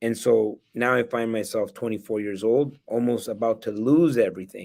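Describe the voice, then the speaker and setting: A man with a plain, everyday voice at medium pitch, ordinary pitch variation and a moderate pace, on a very clean recording with a silent background. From El Salvador, then Canada from age nine. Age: 40s. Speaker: real estate investor and educator. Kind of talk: interview.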